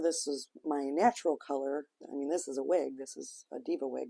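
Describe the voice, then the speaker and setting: This woman's voice has a dark, mellow tone and moves at a moderate pace. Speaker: wig stylist and seller. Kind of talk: tutorial; casual chat.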